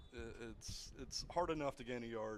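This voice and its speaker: A man's medium-pitched voice at a moderate pace. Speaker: guest football commentator. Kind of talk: live commentary. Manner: halting.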